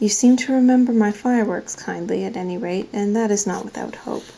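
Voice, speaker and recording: A soft-spoken woman talks at a moderate pace with fairly even intonation. Noticeable background noise sits behind her. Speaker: ASMR reader. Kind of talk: read-aloud of a novel. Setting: camera microphone.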